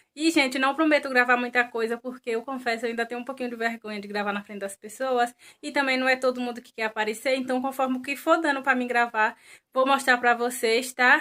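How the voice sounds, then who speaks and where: A woman talks at a very fast pace with a high pitch and a bright, sharp tone. Her intonation stays fairly even while her loudness swings widely. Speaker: vlogger. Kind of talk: casual vlog.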